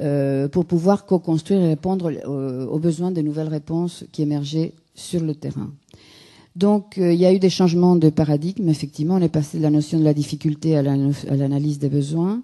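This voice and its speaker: Her voice is very deep and low, with a dark, mellow tone. The woman keeps a moderate pace and fairly even intonation against a quiet background. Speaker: consultant and lecturer at a conference. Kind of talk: conference talk. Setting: conference room with audience.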